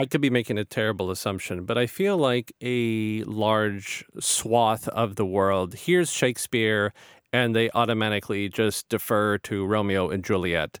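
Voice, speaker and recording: Recorded very cleanly over a silent background with a dry, close sound and no echo, a man with a plain, everyday voice speaks at a moderate pace and fairly low pitch. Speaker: podcast host. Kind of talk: casual interview.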